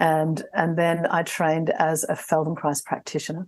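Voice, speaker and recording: A woman with an Australian accent speaks at a fairly low pitch. Her pace is moderate, and the background is quiet. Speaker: somatic coach and trainer. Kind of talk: panel discussion.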